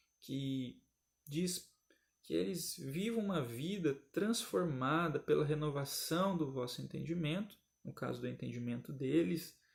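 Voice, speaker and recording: A man speaks at a fairly high pitch and a fairly slow pace. His voice is somewhat breathy, with lively intonation. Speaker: Sunday school Bible teacher. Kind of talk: recorded Bible lesson commentary.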